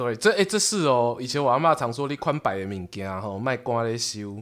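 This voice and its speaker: A man with a medium pitch talks at a fairly quick pace with lively intonation. The recording is very clean, with a silent background. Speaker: podcast host and storyteller. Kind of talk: casual chat. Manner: animated.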